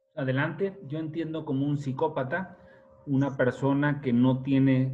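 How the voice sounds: A man's voice at medium pitch with fairly even intonation.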